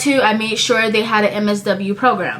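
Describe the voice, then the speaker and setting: With noticeable background noise and audible room echo, a woman speaks in a fairly high pitch at a moderate pace with ordinary pitch variation. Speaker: vlogger, graduate student. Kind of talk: casual talk to camera. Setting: home recording, looking at laptop.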